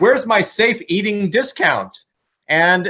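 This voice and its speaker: In a raised, projected voice, a man speaks at a high pitch with a bright, sharp tone and ordinary pitch variation. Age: 60s. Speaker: panelist. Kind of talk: panel discussion.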